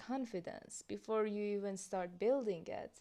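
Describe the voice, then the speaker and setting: In a Persian accent, a woman talks at a fairly slow pace with a dark, mellow tone. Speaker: content creator. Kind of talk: casual vlog reaction.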